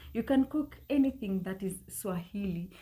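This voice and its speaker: A woman speaks at a moderate pace in a medium pitch, her dark, mellow tone somewhat breathy and her pitch variation ordinary. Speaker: French teacher, language learning guest. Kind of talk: casual interview advice.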